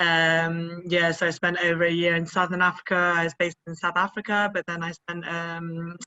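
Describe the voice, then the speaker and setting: A woman with a British accent, fairly low pitch and a fairly quick pace. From UK. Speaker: cycle tour participant. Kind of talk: interview.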